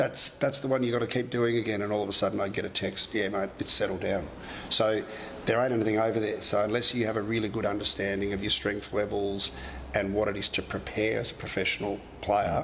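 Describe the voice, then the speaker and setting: The speaker talks at a very fast pace in an Australian accent. The intonation stays monotone and flat. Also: man, fairly low pitch for a man. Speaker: sports clinic director, former professional footballer. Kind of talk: podcast interview.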